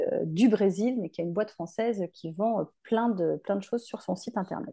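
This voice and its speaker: A woman speaks at a medium pitch in a dark, mellow tone, with ordinary pitch variation. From France, Drôme (near Valence). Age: 40s. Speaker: hairdressing educator. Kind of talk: casual interview.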